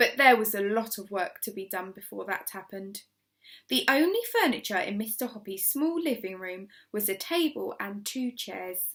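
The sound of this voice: Speaking at a moderate pace, a woman uses lively intonation. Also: fairly bright tone.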